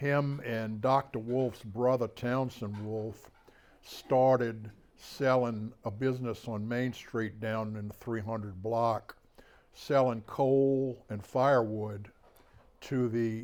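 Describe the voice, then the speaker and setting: A man speaks very slowly at a medium pitch, his intonation flat and monotone. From US South, Bay Saint Louis, Mississippi. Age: 70s. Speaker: author and local historian. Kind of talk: public talk. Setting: talk to an audience in a historic house. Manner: hesitant, many fillers; too quiet for the back of the room.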